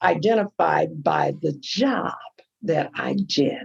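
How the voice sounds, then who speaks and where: Her voice carries vocal fry, and this woman speaks with an animated tone and lively intonation. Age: 70s. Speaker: retired educator. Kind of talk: interview conversation.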